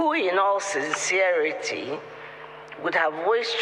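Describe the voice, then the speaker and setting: A man talks fairly slowly with lively intonation. There is audible room echo and noticeable background noise. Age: 80s+. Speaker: retired doctor and ambassador. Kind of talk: formal speech.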